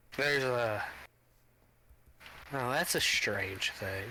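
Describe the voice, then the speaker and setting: A man puts on a gruff character voice at medium pitch, speaking at a very slow pace. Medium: machinima. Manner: blunt, gruff, casual swearing.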